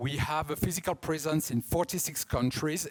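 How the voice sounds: With a strong French accent, a man talks at a moderate pace in a fairly high voice with ordinary pitch variation.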